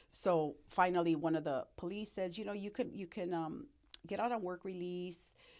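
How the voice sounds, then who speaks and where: Here is a woman with a normal speaking voice. She talks at a moderate pace and a fairly low pitch. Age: 60s. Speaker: recovered addict and entrepreneur. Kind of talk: interview testimony.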